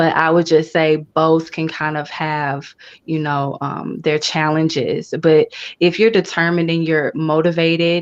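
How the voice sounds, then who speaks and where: Soft-spoken, a woman talks with an American accent at a very deep, low pitch. Her intonation is fairly even at a fairly slow pace, against a quiet background. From US South, Memphis Tennessee. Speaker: voice actress and poet. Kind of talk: interview.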